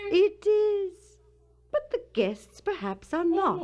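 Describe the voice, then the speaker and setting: In a squeaky, put-on character voice with extremely high pitch, a woman speaks at a very slow pace with lively intonation. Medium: audio drama.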